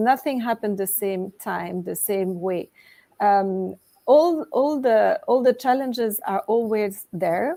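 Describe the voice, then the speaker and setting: A woman's voice in a French accent, medium in pitch with a dark, mellow tone, ordinary pitch variation and a fairly slow pace. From Switzerland (French-speaking). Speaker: author and coach. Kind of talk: interview.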